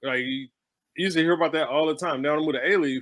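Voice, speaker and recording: A man speaks very fast. His tone is bright and sharp. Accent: Southern US. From Houston, Texas. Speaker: stage play writer, artist. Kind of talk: casual interview chat.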